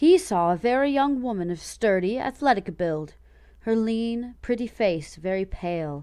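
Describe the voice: The speaker is plainly reading aloud. The intonation is lively.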